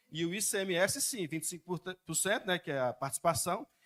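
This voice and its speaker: A man talks at a fairly quick pace with a high pitch and lively intonation, recorded with a dry, close sound and no echo. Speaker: citizen speaking at public hearing. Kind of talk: public hearing comment. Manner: fast.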